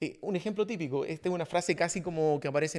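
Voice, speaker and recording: A man talks at a fairly quick pace with a Chilean accent. His pitch is fairly high, with ordinary variation. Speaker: podcast host, leadership coach. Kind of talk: casual podcast conversation.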